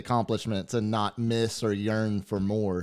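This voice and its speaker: On a very clean recording with a silent background, a man with a Texan accent speaks at a fairly slow pace and a medium pitch. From Glen Rose, Texas. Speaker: podcast co-host. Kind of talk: casual chat.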